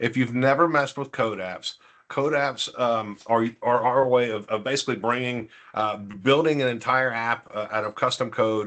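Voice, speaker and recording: A man talks at a medium pitch over a quiet background. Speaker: tech presenter. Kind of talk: webinar demo. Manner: fast; halting, many fillers.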